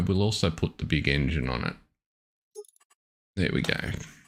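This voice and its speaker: A man with an Australian accent speaks at a moderate pace. His lively intonation carries some vocal fry. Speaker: gaming live streamer. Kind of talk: live stream commentary. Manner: casual, hesitant with fillers.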